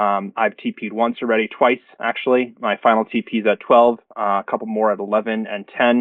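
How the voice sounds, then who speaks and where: A man's medium-pitched voice at a moderate pace, monotone and flat in intonation. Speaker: crypto trader. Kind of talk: livestream market analysis. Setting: livestream. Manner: halting, many fillers.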